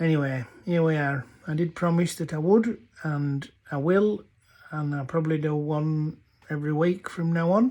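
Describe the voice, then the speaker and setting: Speaking with a North Yorkshire accent, a man has a fairly high pitch and a dark, mellow tone. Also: ordinary pitch variation, moderate pace, very clean recording, silent background. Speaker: dialect storyteller. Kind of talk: casual talk to camera.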